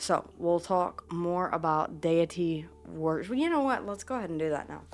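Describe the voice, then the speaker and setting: With a Southern US accent, a woman speaks at a moderate pace, fairly low in pitch with ordinary pitch variation. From US South. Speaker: witchcraft and tarot content creator. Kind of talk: casual vlog talk to camera. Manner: halting, repeats words.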